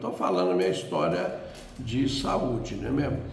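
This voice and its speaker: Noticeable background noise and audible room echo surround a man speaking with ordinary pitch variation. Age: 80s+. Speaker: elderly churchgoer sharing life story. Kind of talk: testimony. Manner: halting.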